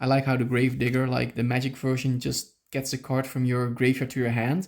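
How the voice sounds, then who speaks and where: The speaker talks at a fairly quick pace with a Dutch accent. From Netherlands. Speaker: YouTuber opening trading card packs. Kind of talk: casual unboxing commentary. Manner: animated, filler-heavy.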